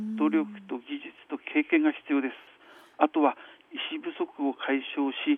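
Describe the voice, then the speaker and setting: A man at a fairly slow pace, his loudness swinging widely. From Hirosaki, Aomori, northern Japan. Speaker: physician. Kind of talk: radio interview. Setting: phone call.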